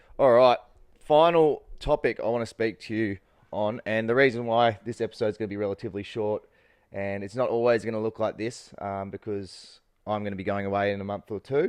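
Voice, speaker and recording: A man with an Australian accent talks at a fairly quick pace, his pitch fairly low with ordinary variation. The background is quiet, and the sound is dry and close with no echo. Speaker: surfer, podcast co-host. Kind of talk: casual chat.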